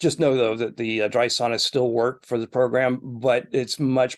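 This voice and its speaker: A normal speaking voice from a man, moderate in pace and medium in pitch. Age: 50s. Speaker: wellness center executive. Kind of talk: interview. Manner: frequent filler words.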